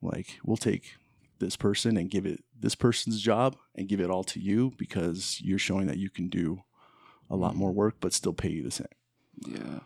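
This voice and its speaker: With an American accent, a man with a very deep, low pitch and vocal fry speaks at a moderate pace with ordinary pitch variation. The sound is dry and close, with no echo. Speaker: guest, host's brother. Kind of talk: casual chat.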